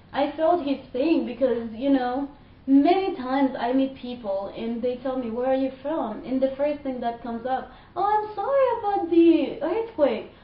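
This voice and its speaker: With audible room echo, a woman speaks at a moderate pace in a high pitch with lively intonation. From Haiti. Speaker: vlogger. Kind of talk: personal rant. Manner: animated.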